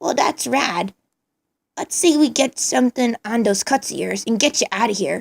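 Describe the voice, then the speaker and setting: A woman uses a put-on character voice at a fairly high pitch. She keeps a moderate pace. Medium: read story. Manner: casual slangy, upbeat.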